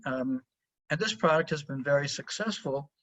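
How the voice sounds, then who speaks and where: A man speaks in a somewhat breathy voice. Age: 70s. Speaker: professor. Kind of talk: webinar lecture. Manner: hesitant with fillers.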